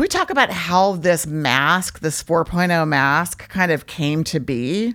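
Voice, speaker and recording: A woman's normal speaking voice, fairly low in pitch, with lively intonation, a fairly slow pace, and hardly any pauses. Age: 50s. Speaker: podcast host. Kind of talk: casual interview chat.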